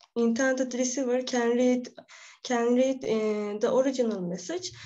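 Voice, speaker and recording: A woman with a high pitch speaks with ordinary pitch variation. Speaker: presenter. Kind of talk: lecture. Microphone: webcam.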